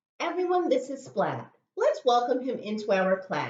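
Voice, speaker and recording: A put-on character voice from a woman, high in pitch, at a moderate pace. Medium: read story. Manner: brisk, classroom-announcing.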